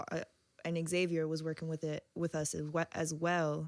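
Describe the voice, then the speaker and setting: Quiet and fairly low-pitched, a woman speaks at a fairly slow pace. The recording is very clean, with a silent background. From Virginia Beach, Virginia. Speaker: DJ and visual artist. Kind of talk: casual interview chat. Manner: low, quiet.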